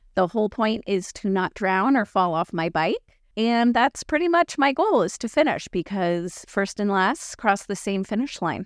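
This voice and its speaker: Recorded very cleanly with a silent background and a dry, close sound with no echo, a plain, everyday voice speaks at a moderate pace with lively intonation. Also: woman, medium pitch for a woman. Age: 40s. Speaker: podcast co-host. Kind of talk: casual chat.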